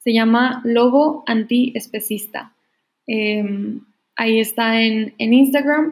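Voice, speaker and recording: Speaking at a very slow pace, a woman keeps her fairly high voice in fairly even intonation. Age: 20s. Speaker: engineering student and vegan activist. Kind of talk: casual chat.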